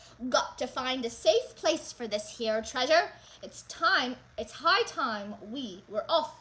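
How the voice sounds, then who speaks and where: A woman does a put-on character voice at a high pitch and a fairly slow pace. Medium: read story. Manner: loud, bellowing, pirate talk.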